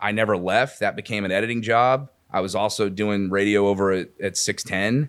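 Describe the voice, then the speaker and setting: A man talks at a fairly quick pace in a fairly low voice with fairly even intonation, an unremarkable speaking voice. The recording is very clean, with a silent background. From Houston, Texas. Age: 40s. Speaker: sports radio host. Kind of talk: casual chat. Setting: studio.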